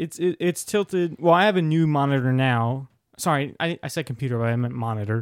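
This man has an unremarkable speaking voice, fairly high in pitch, moving at a fairly quick pace with lively intonation. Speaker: podcast co-host. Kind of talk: casual banter, comedic chat. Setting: recording at home with a monitor.

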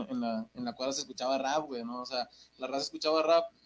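A normal speaking voice talks fairly quickly. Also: man. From Mexico, Santa Catarina, Nuevo León. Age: 20s. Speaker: rapper. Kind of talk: casual chat.

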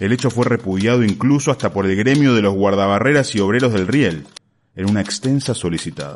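In an unremarkable speaking voice, a man with fairly low pitch talks at a fairly quick pace, with ordinary pitch variation and very even loudness. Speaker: narrator reading a short story. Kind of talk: dramatic narration of a story. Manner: solemn, urgent, newsreader-like gravity; building suspense, mock-epic tone.

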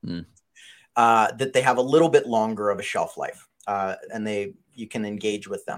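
On a very clean recording with a silent background, a man talks at a moderate pace in a medium pitch with ordinary pitch variation and big swings in loudness, in an ordinary speaking voice. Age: 30s. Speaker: digital marketing agency CEO. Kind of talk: interview.

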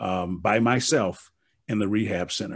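A man with an American accent talks in a plain, everyday voice, pitched fairly low. His intonation stays fairly even against a quiet background. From US Midwest (Milwaukee). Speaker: motivational speaker and author. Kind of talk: interview.

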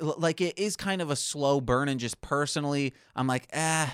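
In an American accent, a man speaks in a normal speaking voice at a fairly high pitch and moderate pace. The recording is very clean, with a silent background. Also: dry, close sound with no echo. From Michigan, US. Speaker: podcaster and music producer. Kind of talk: casual chat.

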